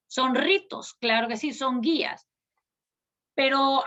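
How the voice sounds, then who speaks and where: A woman speaks at a very slow pace. Her voice is high, with ordinary pitch variation. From Palestine. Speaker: conference speaker. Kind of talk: conference talk. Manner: formal.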